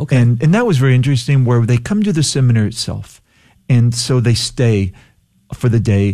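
A man's dark, mellow, somewhat breathy voice with an American accent, medium pitch, ordinary pitch variation, very even loudness and a fairly quick pace. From Texas Gulf Coast (Palacios). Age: 60s. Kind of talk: radio interview. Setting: radio studio.

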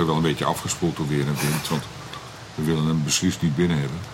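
Noticeable background noise sits behind a man whose very deep, low voice stays monotone and flat. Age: 60s. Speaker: comedian. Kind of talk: casual chat. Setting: outdoors.

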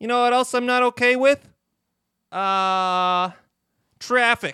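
A man's extremely high-pitched, raised and projected voice with a bright, sharp tone, on a very clean recording against a silent background. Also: dry, close sound with no echo. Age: 20s. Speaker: comedy podcast guest. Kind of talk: improvised stand-up bits.

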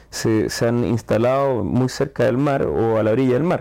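In a Chilean accent, a man speaks at a fairly slow pace and medium pitch, his tone dark and mellow and his pitch variation ordinary. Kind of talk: casual chat. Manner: hesitant, with fillers and repetitions.

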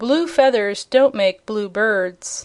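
In a put-on character voice, a woman rumbles at a fairly high pitch. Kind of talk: sarcastic, rhyming retort. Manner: grumbling.

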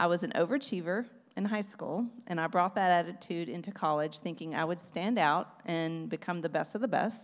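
A woman with a Texan accent talks at a fairly quick pace in a fairly low voice with ordinary pitch variation. The recording is very clean, with a silent background. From East Texas. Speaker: former missionary sharing testimony. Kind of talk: testimony.

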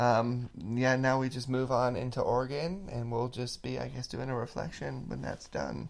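A man talks at a moderate pace with an American accent. He hardly pauses at all. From California, near Yosemite. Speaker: podcast host. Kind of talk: casual chat.

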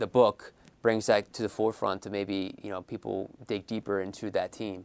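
A man talks with a fairly low pitch. Behind him, the very clean recording has a silent background. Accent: Philadelphia. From Philadelphia. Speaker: author. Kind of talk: interview. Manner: frequent fillers and hesitations.

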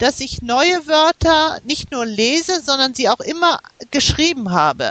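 With lively intonation, a woman speaks in a high voice at a fairly slow pace. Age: 50s. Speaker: language learner. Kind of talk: interview. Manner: hesitant, many fillers.

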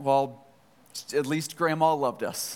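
A man's strained, put-on character voice, fairly high in pitch, at a fairly slow pace with monotone, flat intonation. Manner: tight-lipped, strained.

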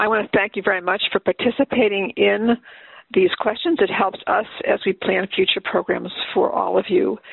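A woman at a moderate pace with very even loudness. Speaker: workshop moderator. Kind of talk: moderated webinar. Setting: phone conference. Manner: hesitant, formal.

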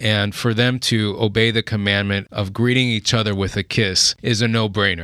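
A man with an American accent speaks at a fairly low pitch. His tone is bright and sharp, and his intonation is flat and monotone. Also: very clean recording, silent background. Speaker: pastor and church planter. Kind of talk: interview. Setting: studio.

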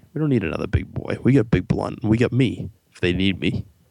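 A man's fairly low, fry-tinged voice at a fairly quick pace, with lively intonation. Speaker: radio co-host. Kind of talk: radio dj patter. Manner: joking, bantering.

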